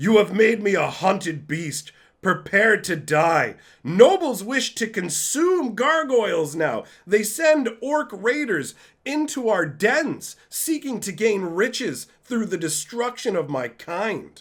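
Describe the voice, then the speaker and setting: Using a put-on character voice, a man growls at a high pitch with very wide pitch swings. His pace is fairly slow. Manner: growling, bitter.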